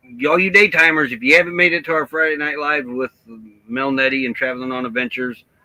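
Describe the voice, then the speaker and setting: A man speaks at a very fast pace in a fairly high voice, with ordinary pitch variation. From Midwest US, born Chicago, raised by Southern family. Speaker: travel vlogger. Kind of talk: casual chat.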